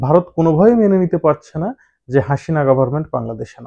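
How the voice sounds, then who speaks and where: A man's dark, mellow tone with very wide pitch swings, set against a quiet background. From Bangladesh. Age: 30s. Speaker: travel vlogger; news commentator vlogger. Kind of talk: vlog commentary. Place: studio. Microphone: lapel.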